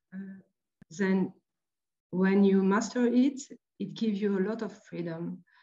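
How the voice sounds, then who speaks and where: A woman with a French accent speaks at a fairly slow pace in a medium pitch, her tone dark and mellow and her intonation fairly even. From France, Marseille. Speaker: artist and printmaker. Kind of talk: lecture. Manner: halting.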